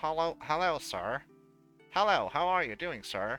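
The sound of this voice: A put-on character voice, nasal and lively in intonation, moves at a moderate pace with faint music in the background. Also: man, high pitch for a man.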